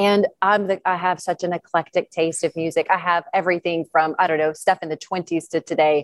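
Speaking at a fairly quick pace with hardly any pauses, a woman with a fairly low pitch keeps a monotone, flat intonation in a dry, close sound with no echo. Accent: Georgia. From US South, northeast Georgia. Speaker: professional skydiver. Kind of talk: casual interview.

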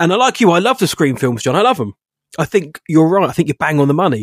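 A man talks with an English accent. The sound is dry and close, with no echo. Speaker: film podcast co-host. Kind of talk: casual chat.

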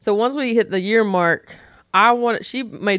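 A woman speaks with a Southern US accent at a moderate pace with ordinary pitch variation, in a very clean recording with a silent background. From North Carolina, US South. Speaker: stand-up comedian. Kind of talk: casual chat.

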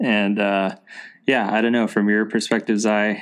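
An ordinary speaking voice at a moderate pace. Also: man. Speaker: podcast host. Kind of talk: casual chat. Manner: casual, friendly.

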